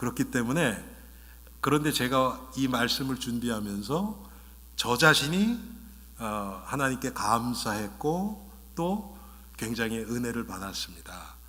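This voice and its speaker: Very slow man at a medium pitch with ordinary pitch variation, amid audible room echo. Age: 60s. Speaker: pastor. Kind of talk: sermon. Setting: church. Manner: bilingual, switching Korean and English.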